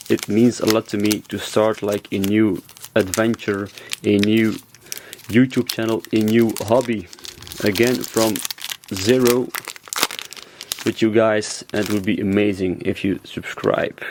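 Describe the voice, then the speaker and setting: With a Belgian accent, the speaker talks at a fairly slow pace with long, frequent pauses against noticeable background noise. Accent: non-native English, Belgian. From Belgium (Flanders). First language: Dutch (Flemish). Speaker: YouTuber, card collector. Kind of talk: unboxing commentary. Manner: animated.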